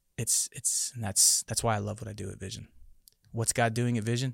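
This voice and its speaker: Very fast and flat in a monotone, a man with an American accent and fairly low pitch sounds somewhat breathy on a dry, close, very clean recording with a silent background and no echo. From Tucson, Arizona, US. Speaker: pastor, former police officer. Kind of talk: interview conversation.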